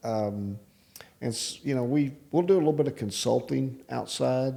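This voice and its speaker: A man with a West Texas accent, moderate pace and ordinary pitch variation. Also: medium pitch for a man. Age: 60s. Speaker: real estate developer and business owner. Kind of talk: casual interview. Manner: halting.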